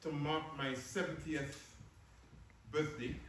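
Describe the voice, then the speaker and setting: A man with a fairly high voice is heard over noticeable background noise and audible room echo. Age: 80s+. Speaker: professor and activist. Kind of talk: post-screening talk and Q&A. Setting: screening event with live audience.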